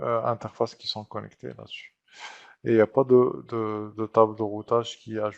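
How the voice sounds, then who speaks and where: A man at a moderate pace, loudness swinging widely, in a dry, close sound with no echo. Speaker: IT trainer. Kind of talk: tutorial. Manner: hesitant, many fillers.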